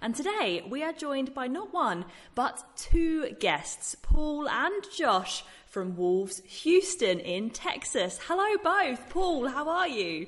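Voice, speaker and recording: Very slowly, a woman speaks in a high pitch with very wide pitch swings. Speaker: radio host. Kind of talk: casual interview.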